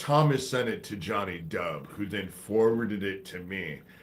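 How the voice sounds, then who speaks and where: There is audible room echo as a man speaks with very wide pitch swings. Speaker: conspiracy livestreamer. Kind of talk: livestream monologue. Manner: slow cadence.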